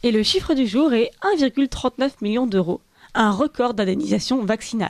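A woman speaks in an ordinary speaking voice, fairly high in pitch, with lively intonation at a fairly slow pace. The loudness stays very even, and the sound is dry and close with no echo. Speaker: radio news presenter. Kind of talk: news reading. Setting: studio. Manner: formal.

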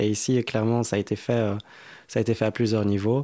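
This very clean recording has a silent background. A man speaks at a medium pitch with monotone, flat intonation. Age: 20s. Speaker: musician and music producer. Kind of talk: interview. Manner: halting.

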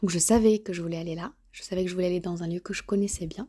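A woman's somewhat breathy, dark and mellow voice at medium pitch, with fairly even intonation. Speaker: podcast host, language learning. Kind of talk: casual solo narration and interview. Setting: outdoors, walking.

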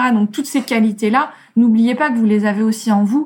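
The speaker is a woman with a fairly high pitch. Her voice is somewhat breathy. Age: 40s. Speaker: creative entrepreneur and author. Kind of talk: interview.

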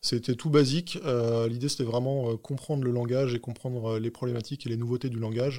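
A man with a dark, mellow tone speaks at a fairly quick pace, with fairly even intonation and hardly any pauses. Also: medium pitch for a man. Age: 40s. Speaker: tech executive. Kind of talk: interview. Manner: halting.

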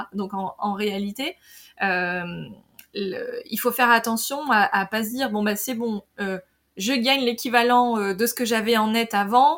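A woman's fairly high voice at a very slow pace, with ordinary pitch variation, in a very clean recording against a silent background. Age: 40s. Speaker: marketing director and creative business podcaster. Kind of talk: casual interview. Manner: hesitant, many fillers.

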